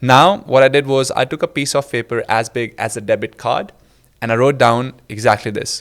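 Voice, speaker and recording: Speaking with an Indian accent, a man at medium pitch keeps a moderate pace and ordinary pitch variation. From India, Delhi. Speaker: presentation skills coach. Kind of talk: interview storytelling.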